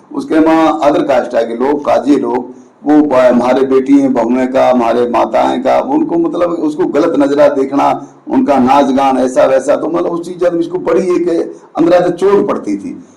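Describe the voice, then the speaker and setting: His voice carries audible room echo. Beneath it sits noticeable background noise from the man's surroundings. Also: hardly any pauses. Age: 60s. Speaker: community activist. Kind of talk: interview. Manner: halting, with fillers.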